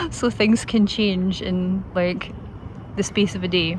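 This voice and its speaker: Speaking at a fairly slow pace with a Scottish accent, a woman is heard over noticeable background noise. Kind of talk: casual talk to camera. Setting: outdoors. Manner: gentle, calm.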